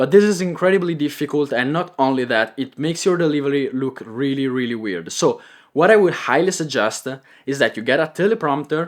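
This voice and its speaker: This voice has a slight Italian accent and lively intonation. The recording is very clean, with a silent background. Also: man. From Italy. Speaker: content creator and coach. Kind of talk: tutorial. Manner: clear pronunciation; improvised, with filler words.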